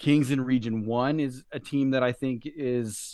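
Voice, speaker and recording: A man with a medium-pitched, unremarkable speaking voice talks at a fairly slow pace with ordinary pitch variation against a quiet background. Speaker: podcast co-host. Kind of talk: podcast discussion.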